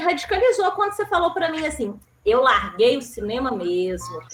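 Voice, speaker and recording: Very wide swings in pitch from a woman speaking at a moderate speed. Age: 30s. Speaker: panel moderator. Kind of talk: panel discussion.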